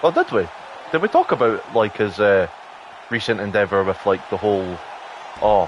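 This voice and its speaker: The speech moves at a moderate pace with long, frequent pauses and ordinary pitch variation over noticeable background noise. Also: man, fairly low pitch for a man. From Britain. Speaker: gaming livestreamer. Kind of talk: casual livestream chat while gaming.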